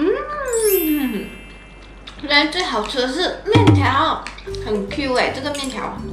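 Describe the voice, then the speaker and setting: Clear music plays in the background. A woman talks over it at a very slow pace. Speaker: food vlogger. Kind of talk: casual vlog chat. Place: home room.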